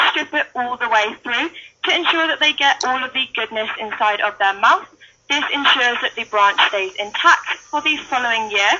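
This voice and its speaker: A woman in a British accent speaks at a moderate pace and high pitch, with ordinary pitch variation over noticeable background noise. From United Kingdom. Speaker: wildlife centre intern. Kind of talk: live educational talk at animal enclosure.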